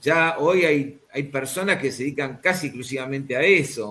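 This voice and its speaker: A man with a rather high pitch keeps a moderate speed, and his pitch varies in a normal way. Clear background noise runs throughout. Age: 60s. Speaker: spine surgeon. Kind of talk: interview.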